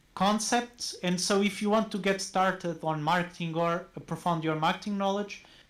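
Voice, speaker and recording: A man with a non-native accent speaks in a high voice with ordinary pitch variation. The recording is very clean, with a silent background. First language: not English. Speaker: university marketing professor. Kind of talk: casual interview chat.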